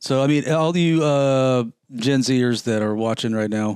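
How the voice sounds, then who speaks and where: At a medium pitch, this man speaks in an ordinary speaking voice. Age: 50s. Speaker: car podcast co-host. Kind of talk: casual chat.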